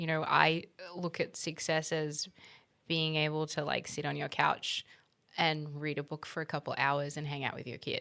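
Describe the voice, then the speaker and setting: In an Australian accent, a woman with a very deep, low pitch talks in a bright, sharp tone with monotone, flat intonation. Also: moderate pace, very clean recording, silent background. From Middle East (Kuwait, Egypt, Saudi Arabia), then Australia. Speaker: interior designer. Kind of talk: interview conversation.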